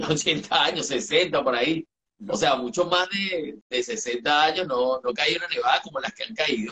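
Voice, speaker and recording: Here is a man with an ordinary speaking voice, fairly high in pitch. He talks at a fairly slow pace with lively intonation. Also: quiet background. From Venezuela, eastern (Sucre state). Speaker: entertainment journalist. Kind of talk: casual chat. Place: home room. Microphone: video call.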